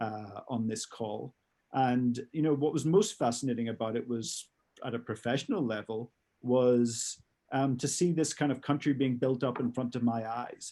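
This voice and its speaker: A man speaks in a medium pitch with a dark, mellow tone. His pace is moderate, his pitch variation ordinary, and the background quiet. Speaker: former police advisor and author. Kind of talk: webinar talk.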